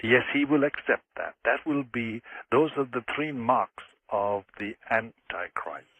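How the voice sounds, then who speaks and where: Speaking at a very slow pace with an Irish accent, a man uses a medium pitch and ordinary pitch variation. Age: 70s. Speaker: former exorcist and author. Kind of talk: radio interview.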